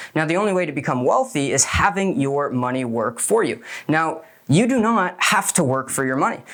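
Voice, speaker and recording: A man with a fairly high voice speaks in an animated tone at a fairly quick pace, his pitch swinging very widely over noticeable background noise. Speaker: business coach. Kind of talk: motivational talk. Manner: fast.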